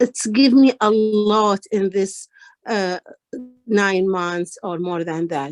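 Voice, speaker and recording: A woman with a medium-pitched voice talks at a very slow pace with fairly even intonation, in a dry, close sound with no echo. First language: not English. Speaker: ESL student at women's organization. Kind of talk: testimony. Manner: halting.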